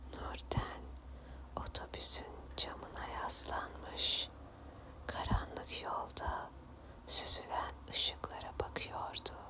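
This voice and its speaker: Someone whispers at a very slow pace with long, frequent pauses against noticeable background noise. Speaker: ASMR storyteller / channel host. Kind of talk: ASMR horror story narration. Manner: soft, relaxing, whispery.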